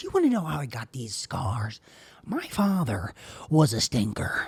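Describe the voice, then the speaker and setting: Someone uses a put-on character voice at a low-to-middle pitch and a moderate pace. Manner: menacing, taunting.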